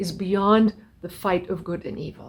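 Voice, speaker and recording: On a very clean recording with a silent background, a woman speaks in a somewhat breathy voice. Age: 60s. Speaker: spiritual teacher. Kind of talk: spiritual talk.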